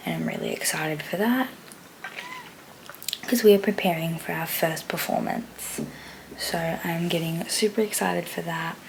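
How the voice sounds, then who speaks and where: Noticeable background noise sits behind a woman with a fairly low pitch. She keeps a moderate pace with ordinary pitch variation and long, frequent pauses. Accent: Australian. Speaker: vlogger and dance teacher. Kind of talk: casual vlog.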